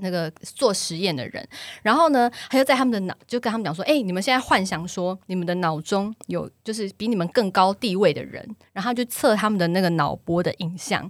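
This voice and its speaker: A normal speaking voice moves at a fairly quick pace. The intonation is lively. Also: woman, medium pitch for a woman. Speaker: podcast host and social media influencer. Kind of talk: casual chat.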